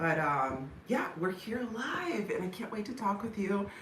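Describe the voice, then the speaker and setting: Both noticeable background noise and audible echo from the room come through in this clip. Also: woman. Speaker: lifestyle vlogger. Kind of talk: casual chat. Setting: livestream from home. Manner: higher pitched than usual.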